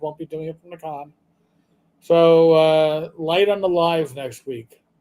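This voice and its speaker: A man's high-pitched voice with a dark, mellow tone at a moderate pace. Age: 50s. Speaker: gaming channel host. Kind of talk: live stream chat. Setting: live stream.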